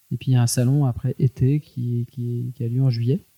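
A man with a dark, mellow tone and fairly even intonation. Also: dry, close sound with no echo. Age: 40s. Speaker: entrepreneur. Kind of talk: interview. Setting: at the guest's home. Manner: halting.

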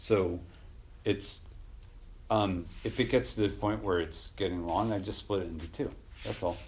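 A man with a very deep, low voice and vocal fry speaks at a moderate pace. His pitch varies in an ordinary way, and he leaves long, frequent pauses. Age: 40s. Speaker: podcast host. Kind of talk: casual interview chat. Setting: garage.

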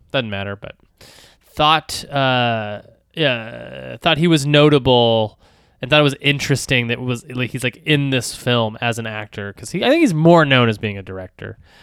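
Talking at a moderate pace, a man shows ordinary pitch variation and big swings in loudness. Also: medium pitch for a man. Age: 30s. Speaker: podcast co-host. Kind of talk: casual chat. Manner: halting, many fillers.

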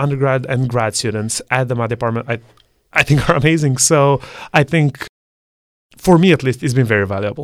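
A man with a Serbian accent talks at a moderate pace, his medium pitch showing ordinary variation. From Serbia, Belgrade. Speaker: math student. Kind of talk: interview.

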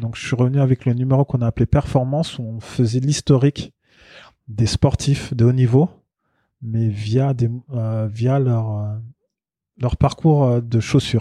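A man with a medium pitch and a dark, mellow tone talks at a fairly slow pace with fairly even intonation and long, frequent pauses. The sound is dry and close with no echo, over a quiet background. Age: 40s. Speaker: journalist and marketing consultant. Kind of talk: casual chat.

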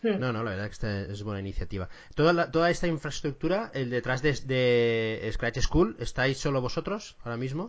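Lively in intonation, a man speaks in an ordinary speaking voice at medium pitch and a fairly quick pace, with hardly any pauses. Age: middle-aged. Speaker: podcast host. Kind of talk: casual interview.

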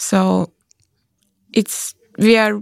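A woman's voice, dry and close with no echo. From Latvia. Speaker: international exchange student. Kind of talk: panel interview. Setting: open school hall with students around.

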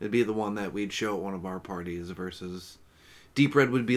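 A normal speaking voice from a man, fairly low in pitch, with ordinary pitch variation. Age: 30s. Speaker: podcast co-host. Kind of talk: casual chat.

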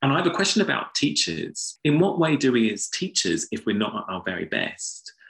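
In a London accent, a man speaks at a moderate pace. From inner London. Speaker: philosophy and education lecturer. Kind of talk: panel discussion.

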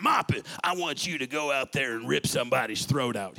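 Putting on a character voice, a man speaks raspy and gruff at medium pitch and a fairly quick pace. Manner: gruff, intense, scary.

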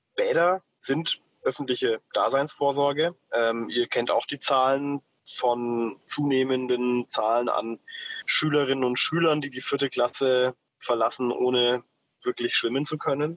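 A man speaks at a fairly slow pace in an ordinary speaking voice, medium in pitch, with fairly even intonation and a dry, close sound with no echo. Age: 30s. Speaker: city councillor. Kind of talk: interview.

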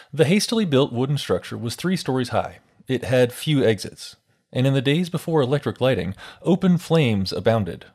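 In a very clean recording with a silent background, a man with a plain, everyday voice talks at a fairly quick pace with lively intonation. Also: medium pitch for a man. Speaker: radio host. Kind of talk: scripted history narration, grave true-crime style retelling of a theatre fire. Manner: measured, solemn, steady pace building tension; clear, formal, broadcast-style delivery.

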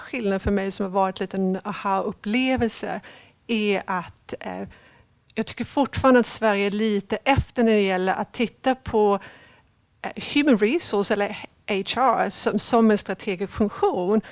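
In a very clean recording with a silent background, a woman with a fairly high pitch talks at a moderate pace with ordinary pitch variation in an unremarkable speaking voice. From Sweden. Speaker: talent acquisition leader. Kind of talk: interview.

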